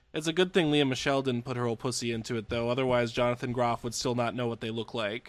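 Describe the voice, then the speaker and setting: A man speaks at a very fast pace. He hardly pauses at all. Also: medium pitch for a man. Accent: American. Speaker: podcast host. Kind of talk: casual comedic chat. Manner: animated, joking.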